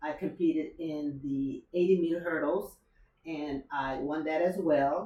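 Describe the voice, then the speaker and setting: Fairly slow speech from a woman, very deep and low in pitch. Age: 70s. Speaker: masters track athlete. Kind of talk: casual chat. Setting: in a home. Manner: halting, many fillers.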